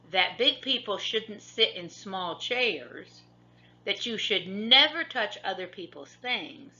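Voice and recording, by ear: The clip is read aloud in a natural voice. Its pitch varies in an ordinary way.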